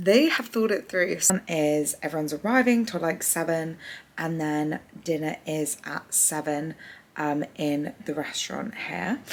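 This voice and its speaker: Noticeable background noise sits behind a woman with a very deep, low pitch. She talks at a fairly slow pace with ordinary pitch variation. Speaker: lifestyle vlogger. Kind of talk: vlog. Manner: whispering.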